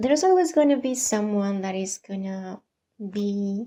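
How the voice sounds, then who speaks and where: Speaking at a fairly slow pace with a non-native accent, a woman has a dark, mellow tone and ordinary pitch variation. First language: not English. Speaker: vlogger. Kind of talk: personal vlog monologue.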